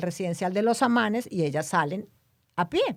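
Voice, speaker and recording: A woman with a Dominican accent is heard on a very clean recording with a silent background. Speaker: podcast co-host. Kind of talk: casual chat.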